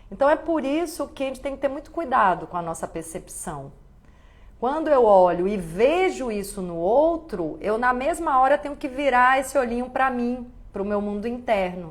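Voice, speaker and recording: At a moderate pace, a woman with fairly high pitch moves through very wide pitch swings. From Bahia, Brazil. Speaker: actress and live-stream host. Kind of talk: live stream talk reading viewer comments. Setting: live stream.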